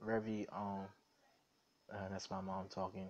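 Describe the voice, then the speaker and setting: A man in an American accent, fairly slow and monotone, with flat intonation. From New York City (Queens), later North Carolina. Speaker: YouTuber. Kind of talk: casual vlog, live stream. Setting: at home, live stream. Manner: casual, filler-heavy.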